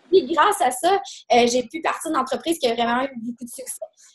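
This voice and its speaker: With a Quebec accent, a woman speaks at a fairly quick pace in a high pitch. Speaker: business owner. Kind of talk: presentation. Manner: fast.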